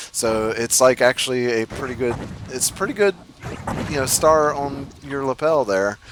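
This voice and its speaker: There is noticeable background noise behind a man with an American accent. He talks at medium pitch and a moderate pace, with ordinary pitch variation. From United States. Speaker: gamer. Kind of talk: casual chat.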